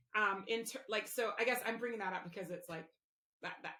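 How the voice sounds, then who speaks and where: A woman speaks loudly. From Canada. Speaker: television director. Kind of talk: interview. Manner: halting.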